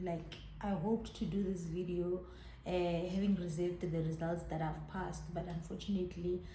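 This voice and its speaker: A woman's fairly low, monotone, flat voice at a moderate pace, with audible room echo and noticeable background noise. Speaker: YouTuber. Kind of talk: personal vlog testimony. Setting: in her salon by a main road.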